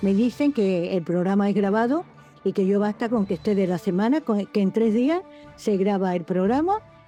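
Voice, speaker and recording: With music playing in the background, a woman talks at a moderate pace. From Andalusia. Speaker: radio presenter and voice actress. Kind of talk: interview answer.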